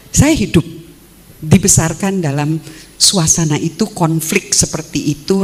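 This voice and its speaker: Ordinary pitch variation and a fairly slow pace, with noticeable background noise. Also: woman. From Indonesia, West Java (Sukabumi), Dutch-Indonesian family. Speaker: philosophy professor. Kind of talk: academic talk. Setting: stage with audience.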